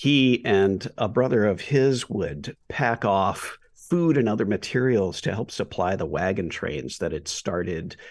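A man with a normal speaking voice, lively intonation and a fairly slow pace, against a quiet background. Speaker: photographer and storytelling professor. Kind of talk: interview. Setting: remote interview.

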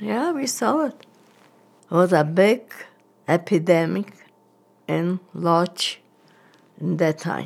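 This woman has a fairly low pitch, vocal fry and lively intonation. She talks at a very slow pace with long, frequent pauses. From Poland, Łódź. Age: 90s. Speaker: Holocaust survivor. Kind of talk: testimony interview. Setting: at home.

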